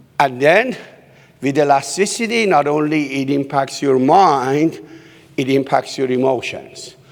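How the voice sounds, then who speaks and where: Someone with a non-native accent speaks at a fairly slow pace with ordinary pitch variation over noticeable background noise. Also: man, fairly high pitch for a man. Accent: foreign. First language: not English. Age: 60s. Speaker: keynote speaker, human behaviorist. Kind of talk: keynote speech. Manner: animated.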